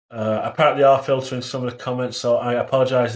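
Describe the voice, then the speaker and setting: Monotone, flat delivery in an English accent at a moderate pace. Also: man. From England. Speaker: livestreamer discussing conspiracy theories. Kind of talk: live stream chat reading comments. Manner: hesitant, many fillers.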